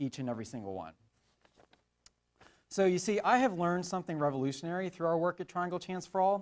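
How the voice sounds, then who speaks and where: Lively male intonation over a quiet background. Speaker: animal sanctuary founder and writer. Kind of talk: conference talk. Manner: loud; hesitant, many filler words.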